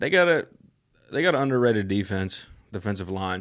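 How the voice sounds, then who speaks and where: The man talks at a fairly quick pace in a fairly low pitch. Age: 20s. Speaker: podcast guest. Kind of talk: casual chat.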